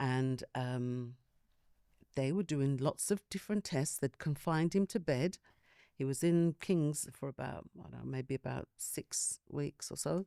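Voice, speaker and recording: A woman speaks in a London accent with a very deep, low pitch and a dark, mellow tone, in a dry, close sound with no echo. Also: ordinary pitch variation, fairly slow pace. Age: 60s. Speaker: panel guest sharing health experience. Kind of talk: personal testimony in group discussion.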